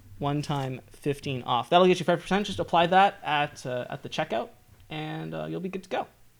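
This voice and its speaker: Using an unremarkable speaking voice, a man speaks at a fairly quick pace and fairly high pitch, with lively intonation and big swings in loudness. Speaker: software founder and developer. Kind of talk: interview.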